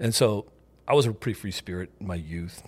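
A man at a very fast pace, somewhat breathy, his pitch variation ordinary. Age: 50s. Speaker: uncle of the host, shrimper and electrician. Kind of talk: casual chat.

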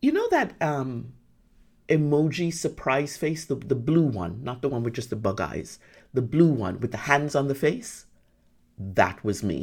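A woman speaks at a fairly slow pace with a very deep, low pitch, vocal fry and an animated tone. Her intonation is lively, and the recording is very clean with a silent background. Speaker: podcast host and business coach. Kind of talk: solo podcast monologue.

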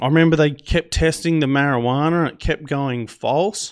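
A man with an Australian accent talks at a moderate pace, with ordinary pitch variation. The background is quiet. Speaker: podcast host. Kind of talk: storytelling monologue. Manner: casual, rambling.

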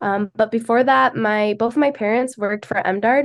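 With an Upper Midwest accent, a woman talks at a fairly quick pace in a medium pitch. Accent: Upper Midwest American. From Michigan, near Grand Rapids. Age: 20s. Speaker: agriculture student ambassador. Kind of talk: casual interview.

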